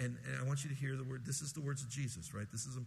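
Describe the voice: Plain reading aloud.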